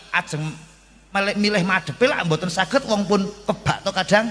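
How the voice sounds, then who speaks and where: Noticeable background noise sits behind this recording. A man speaks with high pitch and lively intonation. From Central Java, Kendal/Temanggung. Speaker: Islamic preacher. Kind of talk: sermon. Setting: stage with audience, PA system. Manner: animated.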